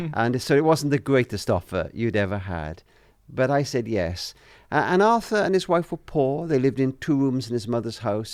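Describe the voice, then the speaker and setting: On a very clean recording with a silent background, a man with a Welsh accent talks at a fairly quick pace in a medium pitch with very wide pitch swings. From Wales. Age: 70s. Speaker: author and family charity leader. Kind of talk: interview.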